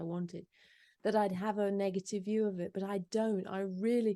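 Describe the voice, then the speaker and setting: A woman with a dark, mellow tone is heard over a quiet background. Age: 50s. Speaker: author and podcaster. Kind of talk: interview.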